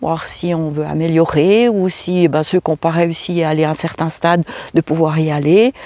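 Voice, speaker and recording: Her voice is fairly low with a dark, mellow tone, and this woman speaks at a moderate pace with fairly even intonation in a dry, close recording with no echo. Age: 60s. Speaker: vlogger. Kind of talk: casual vlog talk. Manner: halting, many fillers and repetitions.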